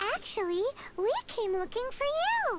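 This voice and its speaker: A squeaky, put-on character voice at an extremely high pitch moves at a moderate pace over loud background noise. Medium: video game. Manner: excitable, blunt.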